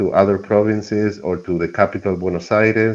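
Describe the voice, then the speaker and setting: With a Spanish accent, a man speaks in a flat monotone at a moderate pace and a fairly low pitch. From Argentina. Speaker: environmental activist. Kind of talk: interview.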